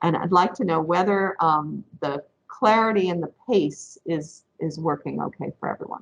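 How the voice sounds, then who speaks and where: A woman speaks with an upstate New York accent. Her pitch is fairly low. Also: ordinary pitch variation. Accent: US regional accent (upstate New York). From upstate New York, Rochester area. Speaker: professor. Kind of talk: lecture. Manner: deliberately not too fast.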